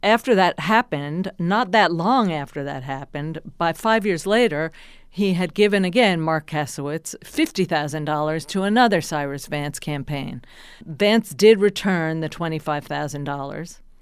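A normal speaking voice in an American accent, at a moderate pace with lively intonation, in a very clean recording with a silent background. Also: woman, fairly low pitch for a woman. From New Jersey. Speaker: journalist and author. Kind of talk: interview.

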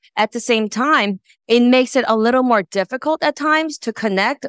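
A woman with an American accent uses a normal speaking voice at a moderate pace with lively intonation, in a dry, close sound with no echo and a very clean recording with a silent background. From New York. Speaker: audience member asking a question. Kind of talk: casual chat. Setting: live event with audience.

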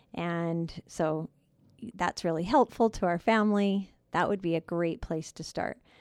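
An unremarkable speaking voice from a woman with a fairly low pitch, fairly even intonation and a fairly slow pace, in a dry, close sound with no echo and a very clean recording with a silent background. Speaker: counselor co-host. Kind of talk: casual conversation about counseling.

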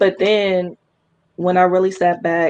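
A woman with an unremarkable speaking voice talks at a fairly low pitch with fairly even intonation. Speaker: small business owner, cosmetics. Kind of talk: casual chat.

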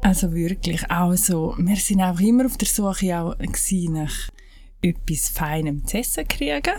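A woman with a Graubünden accent speaks at a fairly slow pace and a medium pitch, with ordinary pitch variation and audible room echo. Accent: Graubünden Swiss German dialect. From Switzerland, Graubünden (Heinzenberg). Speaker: natural cosmetics maker. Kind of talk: casual interview.

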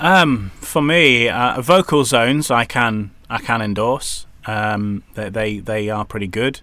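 A man with a medium pitch and a bright, sharp tone talks at a very slow pace with hardly any pauses. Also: ordinary pitch variation. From northern England. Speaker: voiceover artist and radio presenter. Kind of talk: casual chat.

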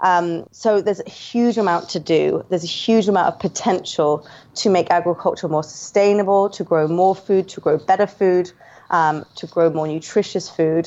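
The voice carries a London accent at a moderate pace. Intonation stays fairly even. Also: woman, medium pitch for a woman. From London, England. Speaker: media head and financial journalist. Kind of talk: casual interview.

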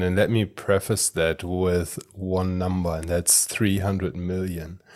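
A man with a German accent speaks in a very deep, low voice with fairly even intonation. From Germany. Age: 30s. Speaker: personal branding and AI consultant. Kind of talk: interview. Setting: video call.

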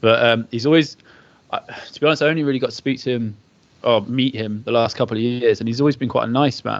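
A man speaks at a very fast pace and medium pitch. His intonation stays fairly even. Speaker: podcast co-host and athlete. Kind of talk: casual interview chat.

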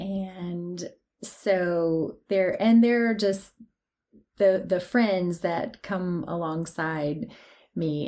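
A woman speaks in an East Tennessee accent at a medium pitch. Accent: Southern US (East Tennessee). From East Tennessee (Athens). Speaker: teacher and patient guest. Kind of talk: interview.

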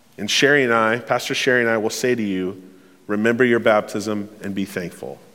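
A man's bright, sharp, medium-pitched voice at a fairly quick pace, with ordinary pitch variation and audible room echo. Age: 30s. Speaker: pastor. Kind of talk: sermon. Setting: church.

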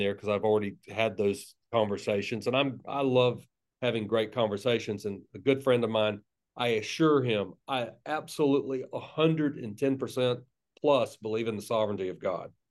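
A man's medium-pitched voice at a moderate pace, with a slight Southern US accent. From US South, North Florida (Tallahassee). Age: 50s. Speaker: pastor and author. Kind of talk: casual interview conversation.

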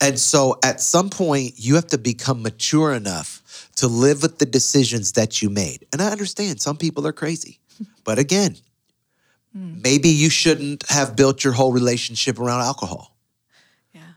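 This man has an unremarkable speaking voice with a fairly high pitch and lively intonation, at a moderate pace. His loudness swings a lot, in a very clean recording with a silent background. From US inner city. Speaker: pastor. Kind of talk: podcast interview conversation.

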